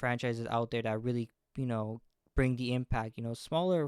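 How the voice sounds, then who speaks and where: Speaking at a fairly quick pace with fairly even intonation, this voice sounds dry and close with no echo, on a very clean recording against a silent background. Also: man. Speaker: gaming YouTuber. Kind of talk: unscripted video monologue. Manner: halting, many restarts and fillers; jumpy, nervous.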